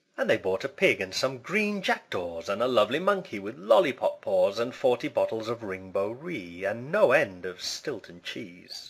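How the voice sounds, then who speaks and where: A man's medium-pitched voice with a British accent, moderate pace, hardly any pauses and very wide pitch swings, on a very clean recording with a silent background. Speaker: English pronunciation teacher. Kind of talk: poetry reading.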